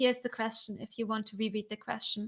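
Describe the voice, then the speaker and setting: On a very clean recording with a silent background, a woman raises and projects her voice, sounding bright and sharp at a fairly quick pace. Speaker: developer advocate, DevOps content creator. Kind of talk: live stream Q&A. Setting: live stream. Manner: fast.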